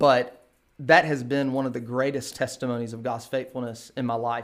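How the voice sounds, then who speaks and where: Recorded very cleanly against a silent background, a man with an American accent uses a normal speaking voice of medium pitch and fairly even intonation. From eastern North Carolina, US South. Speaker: pastor. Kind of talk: casual interview.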